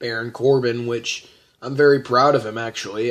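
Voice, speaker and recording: A man's medium-pitched voice moves at a moderate pace in a monotone, flat intonation. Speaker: gaming and wrestling YouTuber. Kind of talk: casual vlog review. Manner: halting, many fillers.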